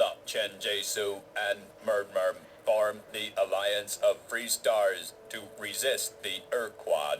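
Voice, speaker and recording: Against clear background noise, a man uses a put-on, robotic character voice at a fairly slow pace. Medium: video game. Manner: formal, stilted, expository.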